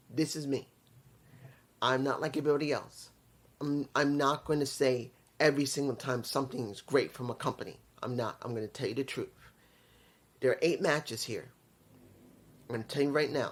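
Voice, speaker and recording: On a very clean recording with a silent background, a man with a fairly high voice speaks at a fairly quick pace and fairly even intonation, leaving long, frequent pauses. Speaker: wrestling video reviewer. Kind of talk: casual review monologue. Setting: at home, neighbors nearby. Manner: quiet, holding back volume.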